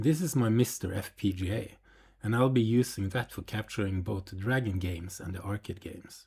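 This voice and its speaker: A man talks with a non-native accent. His tone is dark and mellow, and somewhat breathy. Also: very clean recording, silent background. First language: not English. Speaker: retro computer YouTuber. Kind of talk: video narration.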